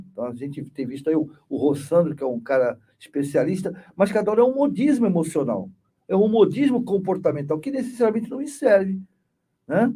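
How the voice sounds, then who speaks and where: Speaking at a fairly quick pace, a man with a high-pitched voice and a dark, mellow tone swings very widely in pitch. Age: 60s. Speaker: spiritist study group leader and therapist. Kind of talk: spiritist study group talk. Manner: conversational, many repetitions and fillers.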